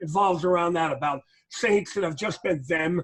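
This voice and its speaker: A man speaks at a high pitch. His pitch variation is ordinary. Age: 60s. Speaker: strength and conditioning coach. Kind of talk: podcast interview. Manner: hesitant, filler-heavy.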